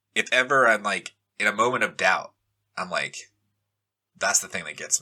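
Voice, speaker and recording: With a bright, sharp tone and vocal fry, a man talks at a fairly quick pace. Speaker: pastor. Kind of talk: casual chat. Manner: animated; halting.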